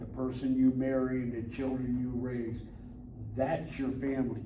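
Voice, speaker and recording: Audible echo from the room mixes with noticeable noise in the background. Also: man. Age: 80s+. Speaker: military veteran. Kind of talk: interview. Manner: casual, folksy.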